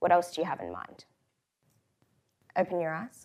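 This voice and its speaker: With an Australian accent, a woman talks in a fairly low register. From Australia, Brisbane. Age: 20s. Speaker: co-CEO of a mentoring organisation, speaker. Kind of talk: conference talk.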